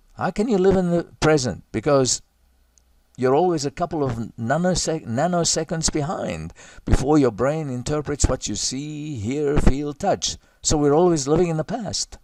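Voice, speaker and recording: This man has a normal speaking voice with a fairly high pitch and ordinary pitch variation. He keeps a moderate pace in a very clean recording with a silent background. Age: 60s. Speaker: self-styled doctor giving talks. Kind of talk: monologue talk. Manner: casual, conversational with fillers.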